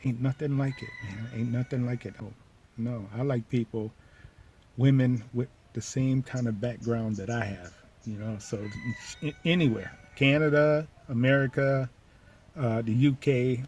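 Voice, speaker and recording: A man's medium-pitched voice with long, frequent pauses against noticeable background noise. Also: fairly even intonation, moderate pace. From United States. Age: 60s. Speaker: vlogger. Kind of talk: casual monologue. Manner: repetitive, halting.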